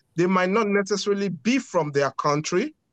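A man's lively intonation at a moderate pace, in a dry, close sound with no echo. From Nigeria, Lagos. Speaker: foundation co-founder. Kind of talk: interview.

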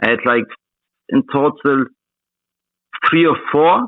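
Fairly slow speech from a man with a fairly high pitch. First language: Russian. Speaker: crypto trader. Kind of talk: casual interview. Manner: halting.

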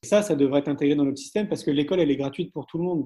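A man speaks with a fairly high pitch and a dark, mellow tone. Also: quiet background. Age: 40s. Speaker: entrepreneur and education event organizer. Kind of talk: interview. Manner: halting.

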